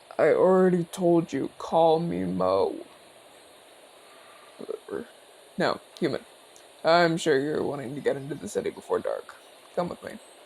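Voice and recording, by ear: A man uses a put-on character voice with a fairly high pitch, some vocal fry, a slightly husky edge and a slightly mellow tone. His intonation is lively, but his pace is fairly slow, with long, frequent pauses.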